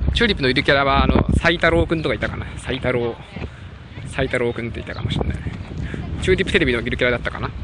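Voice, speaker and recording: Noticeable background noise sits behind a man speaking very fast. His intonation is lively. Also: dry sound with no echo. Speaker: live streamer. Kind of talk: live outdoor stream, casual commentary. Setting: outdoors. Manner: chatty, animated. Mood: worried about dying battery. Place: open country. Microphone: phone near.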